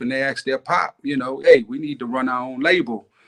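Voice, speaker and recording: A fairly high-pitched man's voice with an American accent, moderate pace and fairly even intonation, in a dry, close sound with no echo. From New York, Staten Island. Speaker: hip hop DJ and producer. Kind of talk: interview. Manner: relaxed, filler-heavy.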